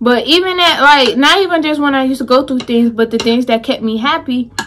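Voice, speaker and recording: A woman with an American accent talks in a high pitch with lively intonation. Her pace is moderate over light background noise. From Chicago, US Midwest. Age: 20s. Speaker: YouTuber; vlogger. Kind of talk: casual mukbang vlog. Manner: casual, chatty. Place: home room. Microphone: phone near.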